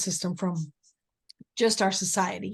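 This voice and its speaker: A woman's somewhat breathy voice is heard with a quiet background. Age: 70s. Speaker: nurse and resilience trainer. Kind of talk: casual chat.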